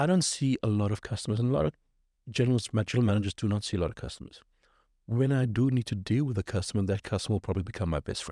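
A man speaks at a very fast pace in a fairly low pitch with a dark, mellow tone and ordinary pitch variation, in a dry, close sound with no echo on a very clean recording with a silent background. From South Africa. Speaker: hotel general manager. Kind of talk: interview.

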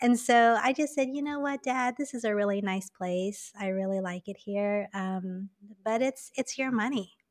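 A woman with a normal speaking voice and an American accent talks at a moderate pace, her fairly high pitch showing ordinary variation, in a dry, close sound with no echo. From Taiwan (Taipei). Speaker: meditation teacher. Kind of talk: casual chat.

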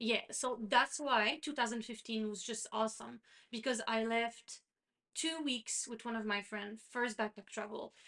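Speaking with a Quebec accent, a woman uses a fairly high pitch, fairly even intonation and a fairly slow pace. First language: French. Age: 30s. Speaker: podcast co-host. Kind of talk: casual chat.

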